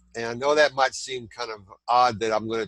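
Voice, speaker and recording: A man speaks at a moderate pace in a Southern US accent. The sound is dry and close with no echo, and the recording is very clean with a silent background. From southern Indiana. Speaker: t-shirt designer and content creator. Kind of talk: interview. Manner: halting, many fillers.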